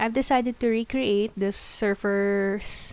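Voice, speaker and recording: Speech comes very slowly, and the intonation stays fairly even. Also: woman. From Philippines. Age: 20s. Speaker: gaming YouTuber. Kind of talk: casual video commentary. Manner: halting.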